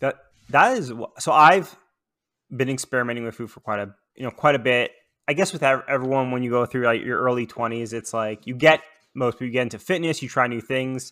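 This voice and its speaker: Man with a Canadian accent, medium pitch and a bright, sharp tone, at a fairly quick pace with ordinary pitch variation and big swings in loudness. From Toronto, Canada. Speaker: podcast host. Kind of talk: casual interview; scripted intro.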